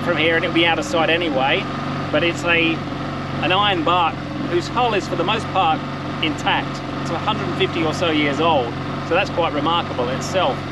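A man speaks at a fairly quick pace, the sound dry with no echo, though loud background noise is present. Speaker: tour guide. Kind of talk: casual vlog commentary. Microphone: phone near.

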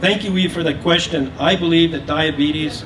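Over noticeable background noise, a man speaks in monotone, flat intonation. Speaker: third-party candidate and writer. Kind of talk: debate answer. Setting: live public debate at fair booth. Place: stage.

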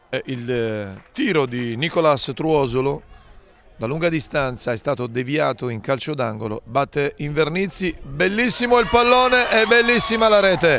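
A man speaks fairly slowly at a fairly high pitch, his voice moving through very wide pitch swings. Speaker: football commentator. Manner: emphatic and repetitive, with abrupt interjections such as 'Attenzione'.

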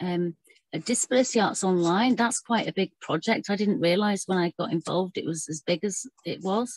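This woman has a normal speaking voice at a medium pitch with ordinary pitch variation, moving at a fairly quick pace. The background is quiet, and the sound is dry with no echo. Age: 40s. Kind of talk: online panel presentation. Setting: video call. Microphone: video call.

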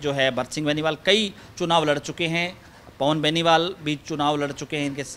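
Over light background noise, a man talks at a fairly slow pace in a bright, sharp tone. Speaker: news reporter. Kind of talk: news report intro and interview question. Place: garden. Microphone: handheld.

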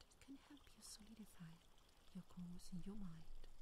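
Someone is whispering at a moderate pace, with a dry sound with no echo and noticeable background noise. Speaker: meditation guide. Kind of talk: guided affirmation meditation. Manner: whispered.

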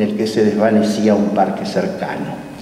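A man with a Rioplatense accent and lively intonation at a moderate pace, with audible room echo. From Buenos Aires, Argentina. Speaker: academy president. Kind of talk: formal welcome speech. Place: hall. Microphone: camera far.

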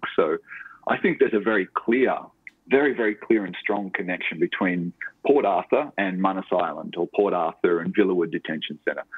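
A man with an Australian accent talks at a fairly quick pace. His pitch is fairly low and the background is quiet. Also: ordinary pitch variation, dry sound with no echo. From Tasmania, Australia (Launceston). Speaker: novelist and writing lecturer. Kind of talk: interview. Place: home room. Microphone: earbuds.

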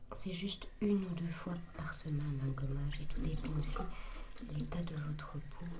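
A soft-spoken woman with a gentle tone talks at a moderate pace with ordinary pitch variation over noticeable background noise. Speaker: ASMR content creator. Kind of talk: ASMR routine video, casual talk to camera. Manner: soft-spoken, gentle. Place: bathroom. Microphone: studio mic.

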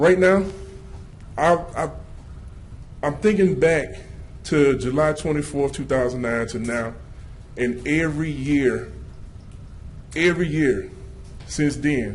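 Somewhat breathy and fairly high-pitched, a man speaks at a fairly slow pace with ordinary pitch variation and long, frequent pauses, with audible room echo. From Louisiana. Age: 30s. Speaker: citizen speaker at public comment. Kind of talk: public comment speech. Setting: city council meeting. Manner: animated.

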